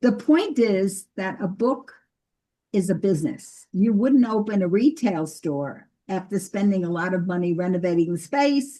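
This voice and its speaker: Somewhat breathy, a woman speaks at a medium pitch and a fairly slow pace. Her tone is dark and mellow, with lively intonation. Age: 80s+. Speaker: ghostwriter and book publishing consultant. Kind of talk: lecture on Zoom.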